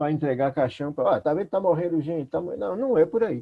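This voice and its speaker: The intonation is lively. It is a man talking in a high pitch. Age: 60s. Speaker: pastor. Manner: conversational, many fillers.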